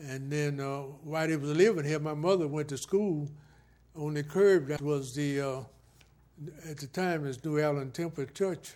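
This man's voice is fairly high with a dark, mellow tone. He has a Southern US accent. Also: fairly even intonation, moderate pace. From US South, Florida (Martin County). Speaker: retired Air Force veteran. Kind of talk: oral history interview. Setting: filmed interview.

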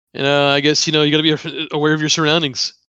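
A man with a bright, sharp tone, fairly high pitch and a very fast pace. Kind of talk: casual chat, TV recap podcast.

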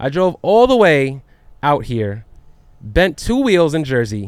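A man speaks in an ordinary speaking voice at a fairly high pitch. His intonation is lively. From New York. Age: 30s. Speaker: podcast host. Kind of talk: casual interview. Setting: studio.

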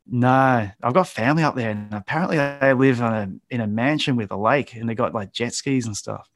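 Speaking at a fairly quick pace with an Australian accent, a man uses ordinary pitch variation on a very clean recording with a silent background. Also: medium pitch for a man. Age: 40s. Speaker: graffiti artist and painter. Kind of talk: casual interview.

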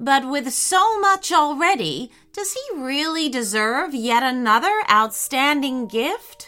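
Faint music plays in the background as a woman speaks at a fairly slow pace in a put-on character voice. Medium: read story. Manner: measured, respectful.

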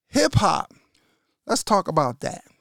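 The sound is close and dry, without any echo. A man does the talking. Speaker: podcast host, hip-hop DJ. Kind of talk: casual monologue. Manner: relaxed; halting, repeats words.

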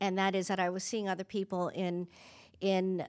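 In a very clean recording with a silent background, a woman talks at a fairly slow pace and a medium pitch. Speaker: recovery conference speaker. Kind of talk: testimony. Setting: stage with audience at conference. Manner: casual, with hesitations and fillers.

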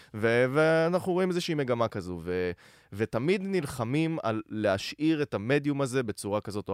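The recording is very clean, with a silent background and a dry, close sound with no echo. A man talks at a moderate pace with very wide pitch swings. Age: 20s. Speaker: content creator and producer. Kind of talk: casual chat.

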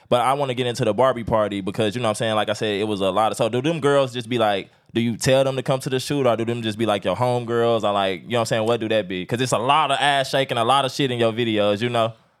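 Music plays behind a man speaking at a very fast pace with hardly any pauses. His medium-pitched voice has fairly even intonation. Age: 30s. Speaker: podcast host. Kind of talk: casual interview.

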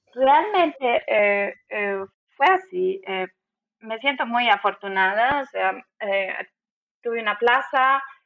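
A woman speaks at a very slow pace with long, frequent pauses. Her high pitch swings very widely. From Bolivia, Cochabamba. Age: 30s. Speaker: immigrant in Germany. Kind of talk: interview.

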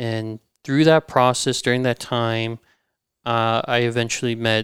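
The speaker has an American accent and talks at a moderate pace in a monotone, flat intonation. The sound is dry and close with no echo, on a very clean recording with a silent background. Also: man. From Southern California. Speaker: chef and restaurant co-founder. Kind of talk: casual chat. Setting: in a restaurant space.

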